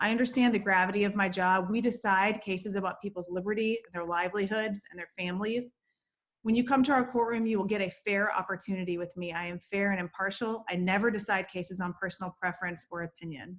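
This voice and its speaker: A woman at a very fast pace with an American accent, medium pitch, and fairly even intonation. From Atlanta, Georgia, US South. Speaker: state supreme court justice, judicial candidate. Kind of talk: candidate stump speech. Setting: video call.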